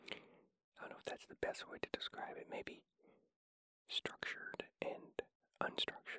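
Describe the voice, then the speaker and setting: The speaker is whispering. Long, frequent pauses run through it. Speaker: podcast host. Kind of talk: whispered ramblings. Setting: home recording with sensitive microphone.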